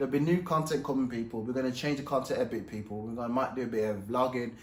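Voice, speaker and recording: Amid audible room echo, a man speaks at medium pitch. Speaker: professional boxer and YouTuber. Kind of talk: casual vlog commentary. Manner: animated; mumbling.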